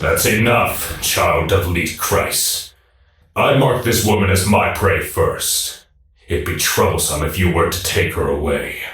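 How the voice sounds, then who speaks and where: A man puts on a raspy character voice. He speaks at a fairly slow pace with slight echo. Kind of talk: video game dub dialogue. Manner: relishing, mocking.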